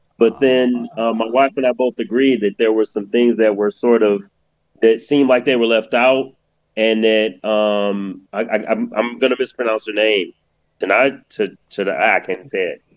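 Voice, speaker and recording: At a moderate pace, a man with a normal speaking voice talks at a medium pitch with fairly even intonation. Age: 50s. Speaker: podcast co-host. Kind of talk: casual chat.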